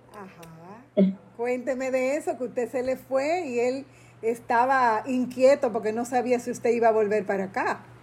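The speaker is a woman with a high voice. Her pitch moves with ordinary variation. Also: fairly slow pace. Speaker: podcast host. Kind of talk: interview.

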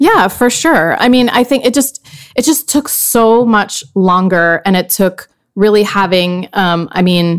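A woman with an ordinary speaking voice and medium pitch talks at a fairly slow pace with ordinary pitch variation. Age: 40s. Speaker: podcast host and former magazine editor. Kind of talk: interview.

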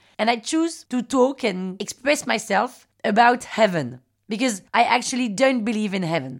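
Someone with a French accent speaks at a moderate pace with lively intonation and an animated tone on a very clean recording with a silent background. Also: woman. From France, Paris. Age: 30s. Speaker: podcast host. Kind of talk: personal storytelling.

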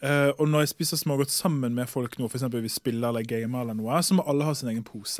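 A man with a fairly high pitch at a very fast pace, in a very clean recording with a silent background. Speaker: chemist. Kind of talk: casual chat. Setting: studio.

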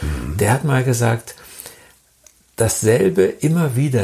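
With lively intonation, a man talks at a very slow pace. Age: 70s. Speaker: author and illustrator. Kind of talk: interview.

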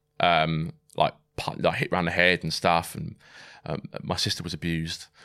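With a southern English accent, a man speaks at a moderate pace. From southern England (Swindon, Wiltshire). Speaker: military veteran, amputee. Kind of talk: personal testimony in an interview.

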